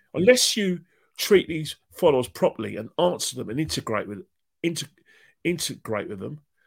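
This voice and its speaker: With a London accent, a man talks at a moderate pace in an animated tone with vocal fry, recorded very cleanly against a silent background. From London, Islington. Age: 50s. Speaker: football fan guest. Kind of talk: casual interview chat.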